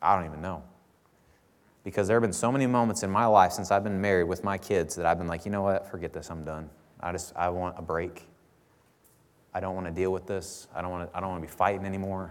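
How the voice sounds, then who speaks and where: Speaking very fast with an American accent, a man with a very deep, low pitch leaves long, frequent pauses, and the room echo is audible. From US Midwest, southern Illinois near St. Louis. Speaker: pastor. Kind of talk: sermon. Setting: church. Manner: casual, conversational with frequent fillers.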